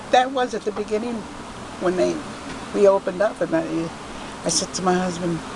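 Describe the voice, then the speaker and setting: A woman with a New York accent speaks at a fairly quick pace and a medium pitch, with ordinary pitch variation. She takes long, frequent pauses, and noticeable background noise can be heard. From New York City (Queens). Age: 80s+. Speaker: shop owner. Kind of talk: interview. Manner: casual, halting.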